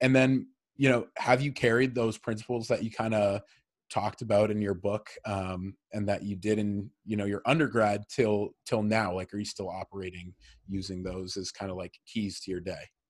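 An unremarkable speaking voice from a man with an American accent, fairly low pitch, fairly even intonation and a moderate pace, in a very clean recording with a silent background. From Massachusetts. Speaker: podcast host. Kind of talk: casual interview.

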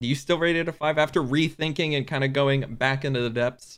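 Here is a man with an unremarkable speaking voice and a fairly high pitch. He speaks at a fairly quick pace with fairly even intonation. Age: 20s. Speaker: podcast co-host. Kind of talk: casual chat.

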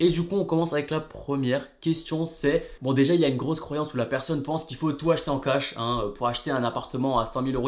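Over music in the background, a man with fairly high pitch and ordinary pitch variation talks at a very fast pace. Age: 20s. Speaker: real estate investing YouTuber. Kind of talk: casual video monologue. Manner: casual, relaxed.

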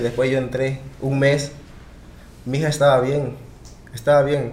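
Noticeable background noise and audible room echo surround a man speaking at a moderate pace and medium pitch. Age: 20s. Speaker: podcast guest telling his migration story. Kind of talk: casual chat, personal storytelling.

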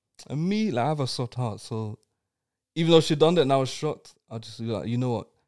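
With a London accent, a man rattles along at a very fast pace, his medium-pitched voice full of lively intonation. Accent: London English (Multicultural London English). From East London, England. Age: 20s. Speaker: podcast guest sharing personal story. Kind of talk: casual chat, personal testimony.

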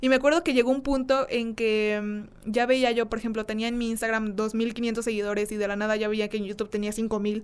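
Speaking fairly quickly, a woman uses a plain, everyday voice, fairly high in pitch with ordinary pitch variation. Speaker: content creator. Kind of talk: casual chat.

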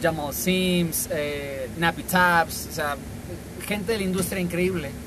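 With audible room echo and noticeable background noise, a man speaks at a high pitch. His pace is very slow, with ordinary pitch variation. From Mexico, La Paz, Baja California Sur. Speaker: dancer. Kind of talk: casual chat. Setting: in person at a café.

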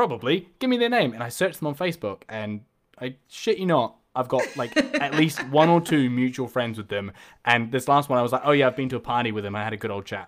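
A man with a New Zealand accent speaks at a medium pitch and a fairly quick pace, with ordinary pitch variation. The recording is very clean, with a silent background. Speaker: podcast host. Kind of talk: casual interview chat.

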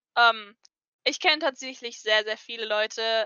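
A woman speaks at a moderate pace in an unremarkable speaking voice, her fairly high pitch held to fairly even intonation. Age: 20s. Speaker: cosplayer. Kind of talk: casual chat.

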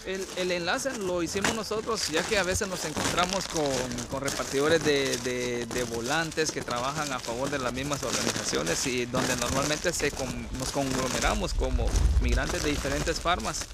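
Noticeable background noise and audible room echo surround this recording. A man talks at a moderate pace with a fairly high pitch and lively intonation. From northern Guatemala. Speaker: temporary farm worker. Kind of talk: interview testimony. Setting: outdoors, walking in snow.

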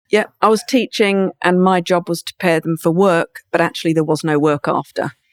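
At a fairly quick pace, a woman with a fairly low pitch speaks with ordinary pitch variation in a dry, close sound with no echo. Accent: southern English. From England, Brighton. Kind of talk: interview. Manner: raw, candid delivery.

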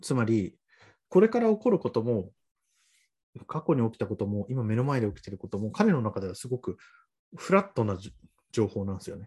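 A man's dark, mellow, somewhat breathy voice at medium pitch, lively in intonation, with big swings in loudness, a fairly quick pace and long, frequent pauses. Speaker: podcast guest. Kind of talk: casual chat.

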